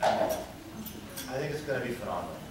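A man's voice carries audible room echo under loud background noise. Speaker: politician giving a tribute. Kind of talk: tribute speech. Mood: warm, heartfelt. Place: hall. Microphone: podium.

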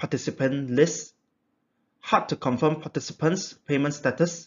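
A moderate pace and ordinary pitch variation. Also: man. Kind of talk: project presentation. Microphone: webcam.

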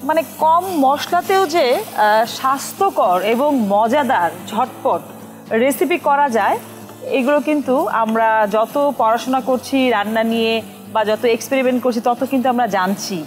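Faint music plays in the background. A woman speaks at a high pitch. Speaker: cooking show host. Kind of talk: cooking show commentary. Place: studio.

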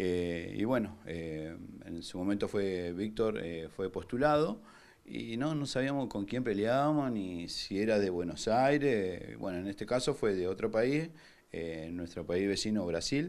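At a fairly slow pace, a man speaks with lively intonation and a fairly low pitch. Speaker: MMA instructor. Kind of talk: interview. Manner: halting, many fillers.

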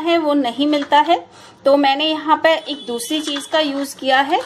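A woman talks at a very slow pace in a high pitch, with ordinary pitch variation. Light background noise sits behind her. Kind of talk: tutorial. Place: kitchen. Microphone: phone near.

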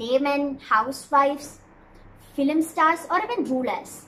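At a fairly slow pace, a woman uses a raised, projected voice over light background noise. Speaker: explainer vlogger. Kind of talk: explainer talk to camera. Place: home room.

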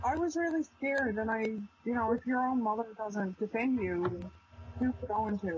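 A woman's pitch rises and falls in a normal way while background noise is clearly heard. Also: moderate pace, very even loudness. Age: 20s. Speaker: PTSD survivor. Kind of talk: testimony. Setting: video call. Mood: somber, recounting painful past. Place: home room. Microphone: video call.

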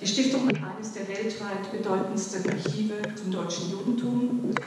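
A woman with a fairly high pitch talks in a fairly even intonation. Strong room echo and light background noise surround her voice. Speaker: foundation director. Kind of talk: welcome speech. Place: hall.

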